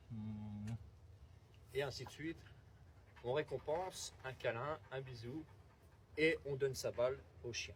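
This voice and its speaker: Vocal fry marks this man's medium-pitched voice, which moves through very wide pitch swings. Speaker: dog trainer. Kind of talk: outdoor demonstration. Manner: switches between calm and loud commanding tone.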